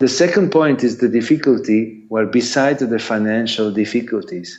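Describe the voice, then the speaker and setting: Speaking with an Italian accent, a man talks at a fairly slow pace with ordinary pitch variation. Audible room echo surrounds his voice. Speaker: sports lawyer and arbitrator. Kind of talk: conference talk Q&A. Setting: video call. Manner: halting.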